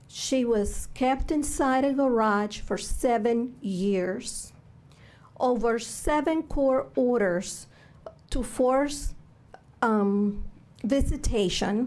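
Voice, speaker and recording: In a Cuban accent, a woman speaks at a very slow pace and high pitch, with ordinary pitch variation. Her loudness stays very even, and audible room echo surrounds the voice. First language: Spanish. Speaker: public testimony speaker. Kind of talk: testimony. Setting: legislative committee hearing.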